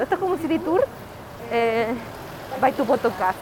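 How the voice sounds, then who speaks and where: The speaker has a Chilean accent, with noticeable background noise behind the voice. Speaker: podcast co-host. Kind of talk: casual chat. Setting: outdoors.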